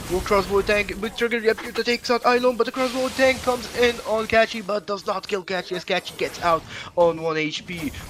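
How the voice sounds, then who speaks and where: Over music in the background, the speech runs at a fairly quick pace with hardly any pauses. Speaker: esports caster. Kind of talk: live commentary. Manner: fast; halting.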